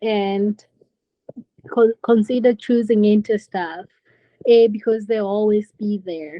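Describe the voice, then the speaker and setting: A woman with a Kenyan accent speaks at a fairly slow pace in a monotone, flat intonation. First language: Kenyan languages (speaks two others). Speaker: nurse. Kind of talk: interview.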